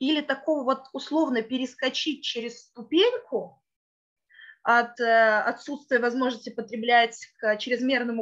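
In a quiet background, a woman talks at a moderate pace in a high voice with fairly even intonation. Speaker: event host. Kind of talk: formal event introduction. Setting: video call. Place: office. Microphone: video call.

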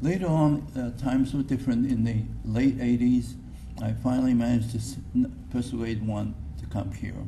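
Over light background noise, a man with a dark, mellow, somewhat breathy tone speaks at a moderate pace with ordinary pitch variation. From Japan. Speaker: retired physics professor. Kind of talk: acceptance speech. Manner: halting. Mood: reflective, warm. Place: hall. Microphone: podium.

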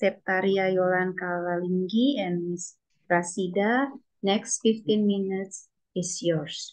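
A woman with an Indonesian accent speaks at a very slow pace. Her intonation is fairly even, and the background is quiet. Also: medium pitch for a woman. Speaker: session moderator. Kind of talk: conference moderation. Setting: video call. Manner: hesitant, many fillers. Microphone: video call.

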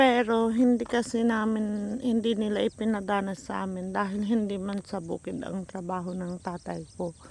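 A woman speaks with hardly any pauses, in an unremarkable speaking voice. Her pitch is medium and her intonation fairly even. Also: moderate pace. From Philippines, rural province. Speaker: vlogger. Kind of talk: casual walking vlog. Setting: outdoors, rural road. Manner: chatty with frequent laughs.

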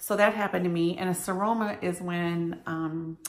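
Her voice is fairly low in pitch for a woman, with fairly even intonation. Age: 50s. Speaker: vlogger sharing cancer journey; vlogger. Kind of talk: personal vlog monologue. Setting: self-recorded video. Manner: casual, hesitant with many ums. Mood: earnest storytelling about hospital visit. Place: kitchen. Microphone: phone near.

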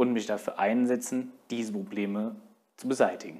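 A man's lively intonation at a moderate pace, against a quiet background. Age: 20s. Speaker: union youth representative and election candidate; election candidate. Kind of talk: campaign statement. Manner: formal. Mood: earnest, friendly appeal. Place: studio. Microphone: lapel.

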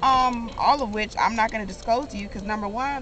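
Over clear background noise, a woman speaks fast. Her pitch is fairly high.

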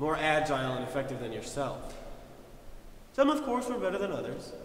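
A man talks at a moderate pace in a room with audible echo and light background noise. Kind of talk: scripted drama dialogue. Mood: smug, condescending.

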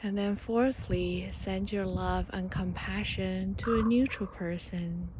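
Noticeable background noise surrounds a woman with a soothing, gentle tone. She speaks at a very slow pace, and the sound is dry with no echo. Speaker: meditation guide. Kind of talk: guided meditation. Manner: slow, soothing, gentle with long pauses; calm, warm, encouraging. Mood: calm, gentle, warm. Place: open country. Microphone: phone near.

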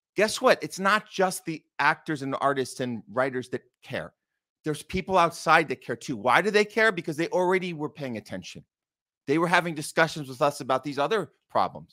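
A man's fairly quick speech with lively intonation against a quiet background. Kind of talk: livestream commentary. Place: home room. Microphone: studio mic.

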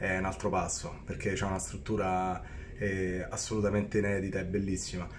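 Against light background noise, a man speaks at a moderate pace in a fairly low, monotone, flat voice. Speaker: travel vlogger. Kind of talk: casual vlog chat. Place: home room. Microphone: phone near.

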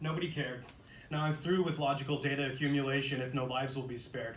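Angry in tone, a man with a fairly high voice talks at a very fast pace amid audible room echo and light background noise. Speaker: poet. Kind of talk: spoken-word poem performance. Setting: live reading in a coffee shop. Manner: dark, defiant, angry, with rhythmic rhyming delivery. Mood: intense, earnest.

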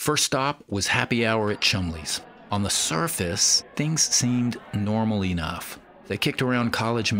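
The clip has a natural reading voice whose pitch moves in an ordinary way.

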